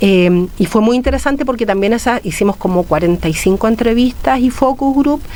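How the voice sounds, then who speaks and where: Fairly quick speech from a woman, with noticeable background noise behind it. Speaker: academic researcher. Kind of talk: radio interview. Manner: fast.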